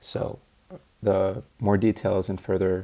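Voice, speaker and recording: A man speaks at a fairly low pitch, his dark, mellow tone edged with vocal fry. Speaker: student researcher presenting a project. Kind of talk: practice presentation. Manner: low energy.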